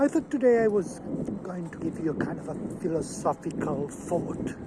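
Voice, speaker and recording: Over noticeable background noise, a man speaks in a Catalan Spanish accent. His pitch is high and his pace moderate. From Catalonia, Spain. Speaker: zoologist. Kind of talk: personal talk to camera. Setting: outdoors in a park. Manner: halting.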